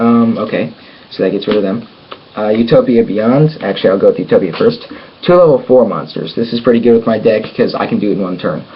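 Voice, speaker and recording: Speaking at a very fast pace, a man can be heard through noticeable background noise. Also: medium pitch for a man, ordinary pitch variation. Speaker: card game YouTuber. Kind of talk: deck showcase tutorial. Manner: halting, many fillers.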